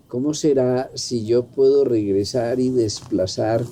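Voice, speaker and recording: A man with a medium-pitched voice talks very slowly. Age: 70s. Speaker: physician and holistic health teacher. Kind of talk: intergenerational conversation.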